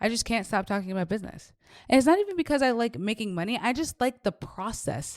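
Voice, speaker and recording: Spoken at a fairly quick clip in an animated tone, the voice swings very widely in pitch over a very clean recording with a silent background. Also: woman. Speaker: faith and business coach. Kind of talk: podcast monologue. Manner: fast.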